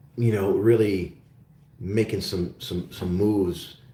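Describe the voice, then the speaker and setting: Speaking with an American accent at a fairly slow pace, the voice is somewhat breathy with a dark, mellow tone and ordinary pitch variation. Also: man. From Oklahoma, US. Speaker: investment show host. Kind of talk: live-stream Q&A chat. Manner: casual, hesitant with many fillers.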